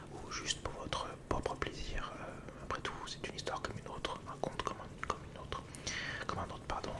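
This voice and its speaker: Someone whispers through noticeable background noise. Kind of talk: ASMR educational talk. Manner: whispered.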